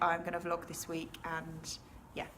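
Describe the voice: Her pitch is fairly low and her tone fairly bright. The woman keeps a moderate pace.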